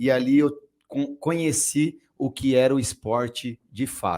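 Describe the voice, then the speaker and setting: A man with a fairly high voice talks fairly slowly, and his pitch varies an ordinary amount. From Guarulhos, São Paulo, Brazil. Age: 40s. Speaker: city councillor and former swimmer. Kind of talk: podcast interview.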